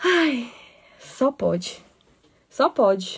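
A woman's animated voice. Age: 30s. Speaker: podcast host and breastfeeding advocate. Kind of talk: live stream monologue.

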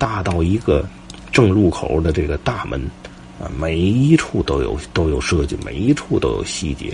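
Over noticeable background noise, a man with a very deep, low voice speaks at a fairly slow pace with lively intonation. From Tianjin, Xibeijiao area. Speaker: podcast host, local history storyteller. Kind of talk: casual storytelling monologue. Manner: halting, with frequent fillers.

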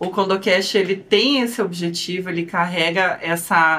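A woman speaks with a strong Curitiba accent. Her pitch is fairly low and her intonation fairly even. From Brazil, Curitiba. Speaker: lawyer, podcast co-host. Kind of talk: casual podcast introduction.

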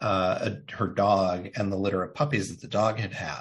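In a normal speaking voice, a man with an American accent talks at a moderate pace, his fairly low pitch carrying fairly even intonation. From Indiana, US Midwest. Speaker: marketing agency CEO and author. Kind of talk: interview.

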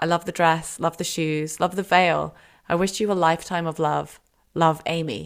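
A woman's fairly low voice, animated and enthusiastic, at a moderate pace in a very clean recording with a silent background. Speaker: podcast host. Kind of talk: casual chat discussing short stories. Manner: animated, enthusiastic.

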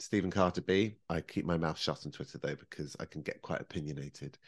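Against a quiet background, a man with a British accent speaks at a fairly quick pace with ordinary pitch variation. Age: 40s. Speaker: professional baker. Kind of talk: casual chat.

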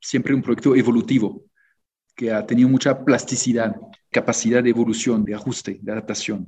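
A man with a French accent, a medium pitch and ordinary pitch variation. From France. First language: French (speaking Spanish). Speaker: diplomat. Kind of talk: interview.

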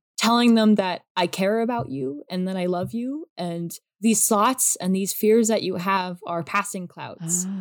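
A woman's medium-pitched voice with ordinary pitch variation, at a fairly slow pace with hardly any pauses. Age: young. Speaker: artist sharing OCD experience. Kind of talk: interview.

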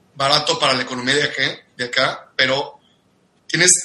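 This man has a bright, sharp tone and a fairly high pitch. He talks at a moderate pace. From Mexico, Cuernavaca. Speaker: industrial engineer and business coach. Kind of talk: casual interview.

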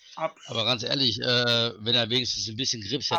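A man speaks at a fairly quick pace with a medium pitch and a bright, sharp tone. His intonation stays fairly even, on a very clean recording with a silent background. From North Rhine-Westphalia, near Wuppertal. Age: 40s. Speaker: guest with Tourette syndrome, forklift worker. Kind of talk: casual chat.

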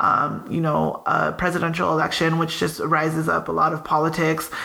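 Speaking with an American accent, a woman uses a very deep, low voice at a moderate pace, with audible room echo and noticeable background noise. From Southern California, Pico Rivera. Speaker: podcast co-host. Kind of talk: casual chat. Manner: animated.

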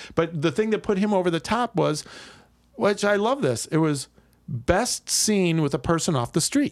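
A man speaks in a high voice with very wide pitch swings. His pace is moderate. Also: very even loudness, very clean recording, silent background. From Milwaukee, Wisconsin. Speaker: improv comedian. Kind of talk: casual chat.

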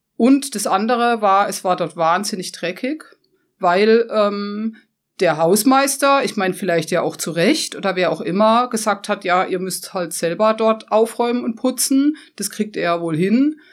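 A woman's medium-pitched, ordinary speaking voice at a fairly slow pace, with lively intonation, in a very clean recording over a silent background. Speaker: photographer. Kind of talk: interview. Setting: studio.

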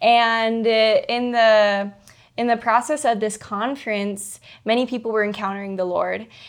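A woman with a normal speaking voice, fairly high in pitch, uses fairly even intonation on a very clean recording with a silent background. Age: 20s. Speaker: missionary. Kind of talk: testimony.

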